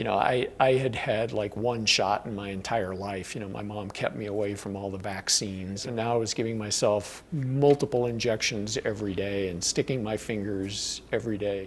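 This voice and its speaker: Against noticeable background noise, a man talks at a moderate pace with a fairly low pitch and fairly even intonation. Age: 60s. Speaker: record-holding endurance climber. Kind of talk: documentary interview. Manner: halting, with fillers and repeats.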